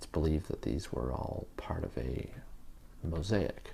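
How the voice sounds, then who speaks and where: Whispering at a fairly slow pace, a man speaks in a relaxed tone. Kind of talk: ASMR show and tell, soft-spoken relaxation talk. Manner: soft-spoken, slow, relaxed.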